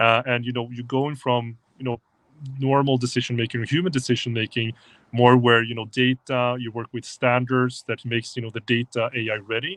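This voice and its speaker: Speaking at a medium pitch, a man talks at a fairly quick pace in a monotone, flat intonation. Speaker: tech company presenter. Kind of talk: livestream talk. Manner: fast.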